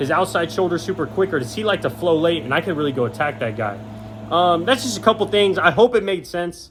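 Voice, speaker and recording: Animated and very fast, a man speaks at a fairly high pitch with very wide pitch swings. Noticeable background noise runs behind him. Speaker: high school football analyst. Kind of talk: sports breakdown video. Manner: casual, animated.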